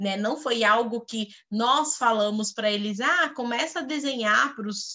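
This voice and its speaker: A woman speaks at a fairly high pitch with hardly any pauses. Her pitch varies in an ordinary way. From Goiás, Brazil. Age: 30s. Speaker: HR executive and educator. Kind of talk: interview. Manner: hesitant with fillers.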